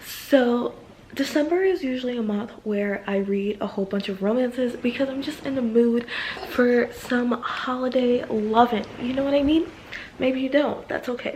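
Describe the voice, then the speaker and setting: A woman speaks at a moderate pace in a high pitch with ordinary variation. There is noticeable background noise. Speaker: book vlogger. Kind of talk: casual vlog talk to camera. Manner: animated.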